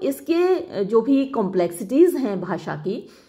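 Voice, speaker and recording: With very wide pitch swings and a dark, mellow tone, the voice carries audible room echo. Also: woman. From India. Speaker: English literature teacher. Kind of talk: lecture.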